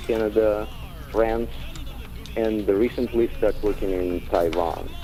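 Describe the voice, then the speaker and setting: Speaking with a Russian accent, a man talks at a moderate pace and medium pitch with ordinary pitch variation, amid noticeable background noise. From Ukraine / Russia. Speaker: theater director and actor. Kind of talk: radio interview. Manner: halting, many fillers.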